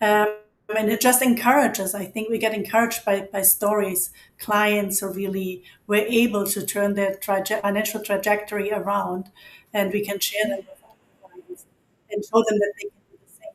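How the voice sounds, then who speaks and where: In a German accent, a woman speaks at a medium pitch and a moderate pace, monotone and flat in intonation but with big swings in loudness. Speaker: financial advisor. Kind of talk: interview.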